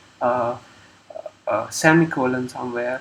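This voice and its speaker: Noticeable background noise sits behind a man speaking at a fairly slow pace in a medium pitch. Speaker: programmer live-streamer. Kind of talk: live coding walkthrough. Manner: halting, many fillers.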